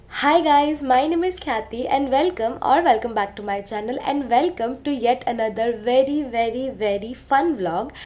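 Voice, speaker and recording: A woman's high voice with lively intonation, at a moderate pace with hardly any pauses. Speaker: vlogger. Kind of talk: casual vlog talk.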